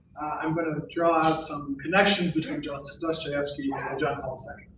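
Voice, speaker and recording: A man with an American accent speaks at a fairly high pitch for a man, with audible room echo and noticeable background noise. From US South, New Orleans. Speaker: philosophy professor. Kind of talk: lecture. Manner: formal.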